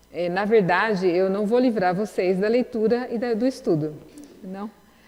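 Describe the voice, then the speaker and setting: A woman at a medium pitch and moderate pace, with ordinary pitch variation. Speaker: lecturer in a religious course. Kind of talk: lecture. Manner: halting.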